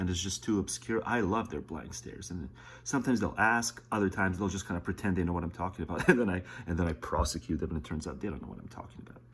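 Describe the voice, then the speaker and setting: A man with a very deep, low voice, vocal fry and lively intonation, at a very fast pace. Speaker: political commentary streamer. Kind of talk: casual commentary over a played video. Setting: at home, close to the wall, early morning. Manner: whispering.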